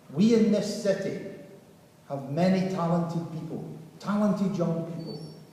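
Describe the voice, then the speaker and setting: A man with a high voice speaks at a moderate pace, leaving long, frequent pauses. Room echo and noticeable background noise are audible. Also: fairly even intonation. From Salford, northern England. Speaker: city mayor. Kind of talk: ceremonial speech.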